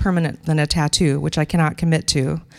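At a very fast pace, a woman with an American accent talks at a fairly low pitch in a dry, close sound with no echo. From Wisconsin. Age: 50s. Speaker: storyteller and activist. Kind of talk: personal story read aloud.

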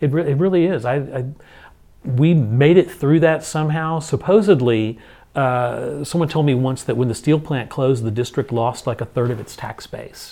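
A dark, mellow tone at a moderate pace with a Texan accent and ordinary pitch variation. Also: man, fairly high pitch for a man. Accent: Texan American English. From Houston, Texas (Spring Branch). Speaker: school district administrator, former choir director. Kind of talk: interview. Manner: casual, with frequent fillers.

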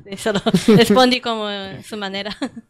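Against noticeable background noise, a woman speaks with a fairly high pitch and fairly even intonation. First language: Japanese (speaking Spanish). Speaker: language meetup organizer. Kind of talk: casual chat. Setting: studio. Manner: halting.

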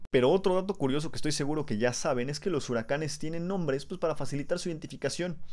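Hardly pausing, a man speaks at a very fast pace. His voice is fairly high-pitched, with ordinary pitch variation. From Mexico. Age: 20s. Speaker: science podcast host. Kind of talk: educational monologue. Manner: casual, conversational.

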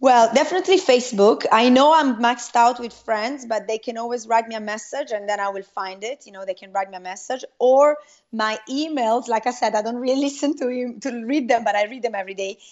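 A woman's high voice in an Italian accent, fairly quick with hardly any pauses, ordinary pitch variation and big swings in loudness. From Italy. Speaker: network marketing entrepreneur. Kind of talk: interview.

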